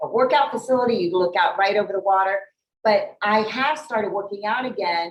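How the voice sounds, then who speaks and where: A woman talks in a normal speaking voice, fairly high in pitch, at a fairly quick pace with ordinary pitch variation. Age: 50s. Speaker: talk show host. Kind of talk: casual interview. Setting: gym overlooking the bay.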